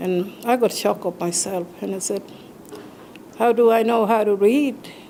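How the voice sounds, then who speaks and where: A woman's medium-pitched voice with ordinary pitch variation and noticeable background noise. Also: moderate pace. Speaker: Anglican priest. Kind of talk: interview testimony. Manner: hesitant, with fillers.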